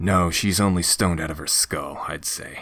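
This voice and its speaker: The raspy put-on character voice moves at a moderate pace with monotone, flat intonation. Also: man, very deep, low pitch for a man. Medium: read story. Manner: sardonic, irreverent.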